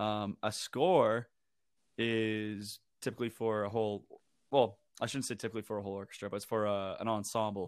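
Recorded very cleanly with a silent background, a man talks at a fairly quick pace. He has a plain, everyday voice, fairly low in pitch with fairly even intonation. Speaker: video game soundtrack expert. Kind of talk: casual chat.

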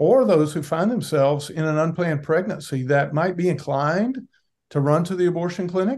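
A man in a normal speaking voice, at a moderate pace with ordinary pitch variation. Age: 60s. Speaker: pastor. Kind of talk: interview.

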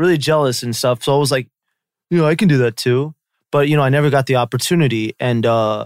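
A man with a Californian accent, fairly high in pitch with ordinary pitch variation, at a fairly quick pace, in a very clean, dry, close recording with no echo and a silent background. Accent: Californian American English. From US, Los Angeles Koreatown. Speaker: YouTuber. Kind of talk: casual chat.

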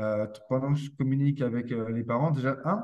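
Medium pitch from a man, dark and mellow in tone. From France. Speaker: posturology and neurotherapy practitioner for children. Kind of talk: interview conversation.

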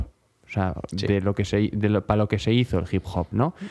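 This is a man with an ordinary speaking voice and ordinary pitch variation, talking at a fairly slow pace. The recording is dry and close with no echo, and the background is quiet. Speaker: music podcast co-host. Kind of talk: casual chat.

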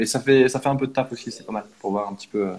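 A man talks at a very fast pace. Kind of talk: casual chat. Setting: video call.

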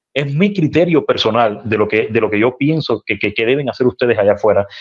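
A man at a medium pitch and a very fast pace. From Cuba, Matanzas (Calimete). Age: young. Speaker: activist and former state media journalist. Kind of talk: interview testimony.

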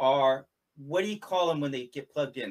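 The speaker is a man. His pitch is fairly high. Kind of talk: interview in live-stream conversation. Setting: live stream video call.

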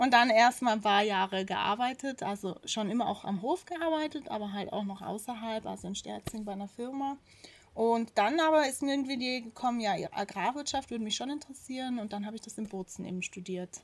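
A woman with an unremarkable speaking voice talks at a fairly quick pace in a fairly high pitch, with ordinary pitch variation and big swings in loudness. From South Tyrol, Italy (Pfitsch valley). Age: 30s. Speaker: farmer. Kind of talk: interview. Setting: on a farm.

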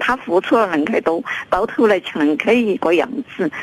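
A woman's pitch swings very widely as she speaks over noticeable background noise. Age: 70s. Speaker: caller, mother. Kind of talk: phone call-in. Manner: halting, stammering.

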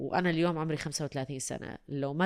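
Against a silent background on a very clean recording, a woman talks fairly slowly. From UAE. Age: 30s. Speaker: voice-over artist and radio/TV presenter. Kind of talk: casual chat. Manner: animated.

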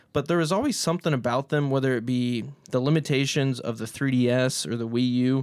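In a very clean recording with a silent background, a man speaks at a medium pitch and a fairly quick pace. His tone is animated, with ordinary pitch variation. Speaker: podcast host. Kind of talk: casual banter, game show chat. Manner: joking, animated.

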